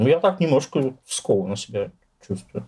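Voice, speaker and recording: Speaking at a fairly quick pace, a man with a dark, mellow tone makes very wide pitch swings. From Moscow, Russia. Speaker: poet and writer. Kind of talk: interview.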